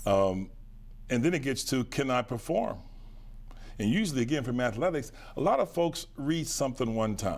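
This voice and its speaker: A man speaks with an American accent and long, frequent pauses. His intonation is lively. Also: medium pitch for a man, moderate pace. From western Pennsylvania, near Pittsburgh; Pennsylvania. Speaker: businessman and lawyer; lawyer. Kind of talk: interview. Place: studio. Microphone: lapel.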